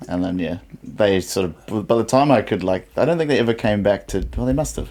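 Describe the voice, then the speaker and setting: A man with a New Zealand accent speaks at a moderate pace. His tone is dark and mellow, and his intonation is lively. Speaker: podcast co-host. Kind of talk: casual chat. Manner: halting.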